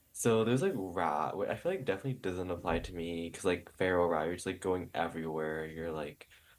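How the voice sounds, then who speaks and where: In a very clean recording with a silent background, a man with an American accent and a very deep, low voice talks at a fairly quick pace with hardly any pauses and ordinary pitch variation. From New York. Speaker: podcast co-host. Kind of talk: casual chat.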